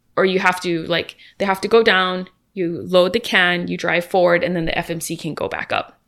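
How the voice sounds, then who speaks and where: Against a silent background in a very clean recording, a woman speaks fairly quickly at a medium pitch in a monotone, flat intonation. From Hawaii, Kauai. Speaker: airline cargo worker. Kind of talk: casual chat.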